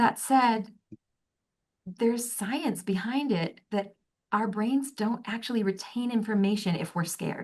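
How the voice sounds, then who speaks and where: A woman talks with a fairly high pitch, a somewhat breathy quality, and ordinary pitch variation. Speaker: human resources director. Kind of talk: interview. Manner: fast.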